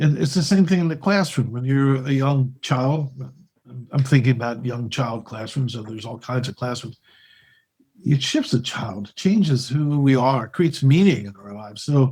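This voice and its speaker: Speaking at a moderate pace, a man has a somewhat breathy, dark, mellow tone with big swings in loudness. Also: medium pitch for a man, ordinary pitch variation. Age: 60s. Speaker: podcast host. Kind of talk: interview conversation.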